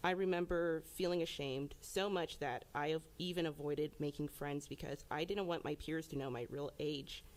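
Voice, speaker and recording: A woman's very deep, low voice with an American accent and fairly even intonation. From Georgia, US. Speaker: former foster youth, college student. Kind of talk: public testimony. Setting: legislative committee hearing. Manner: projecting.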